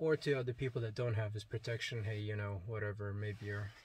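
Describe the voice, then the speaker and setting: A man talks in a somewhat breathy voice. His intonation stays fairly even. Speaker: religious video blogger. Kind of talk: testimony. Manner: hesitant, many fillers.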